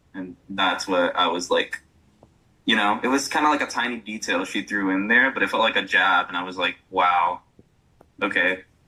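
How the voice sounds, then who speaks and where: Moderate pace and ordinary pitch variation from a man with a fairly low voice. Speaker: podcast guest talking about toxic masculinity. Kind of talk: casual chat. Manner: halting.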